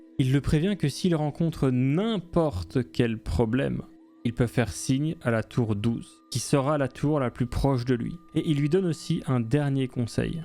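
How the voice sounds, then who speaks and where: Music plays in the background as a man of medium pitch speaks at a fairly slow pace. His intonation is lively and his loudness is very even. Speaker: gaming video narrator. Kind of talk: game story narration with commentary. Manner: casual, joking.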